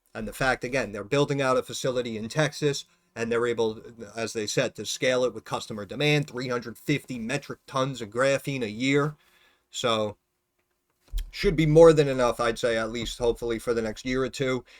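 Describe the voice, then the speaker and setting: A man mumbles at a fairly quick pace and medium pitch. His intonation stays fairly even, and the sound is dry and close with no echo. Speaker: stock market YouTuber, former financial advisor. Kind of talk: casual stock analysis video. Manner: mumbling; informal, filler-heavy.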